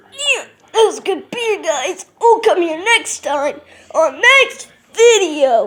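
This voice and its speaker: Extremely high pitch in a cartoonish character voice at a very slow pace. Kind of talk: puppet show talk to camera.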